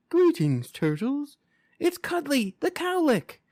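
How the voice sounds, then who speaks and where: In a put-on character voice, a man talks at a fairly slow pace with an extremely high pitch, on a very clean recording with a silent background. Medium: read story. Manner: formal, courteous.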